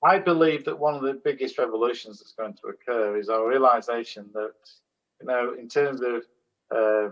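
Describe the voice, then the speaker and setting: A man's unremarkable speaking voice at a medium pitch and moderate pace, with ordinary pitch variation and big swings in loudness. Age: 60s. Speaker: holistic management consultant and trainer. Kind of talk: panel discussion.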